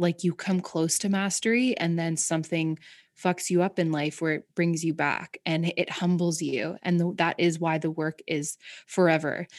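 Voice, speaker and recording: With a Canadian accent and a normal speaking voice, a woman talks at a moderate pace and a fairly low pitch, her intonation fairly even, in a dry, close recording with no echo and a quiet background. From Canada, rural Southern Ontario. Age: 30s. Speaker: mental health advocate and actress. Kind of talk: casual chat. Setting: video call.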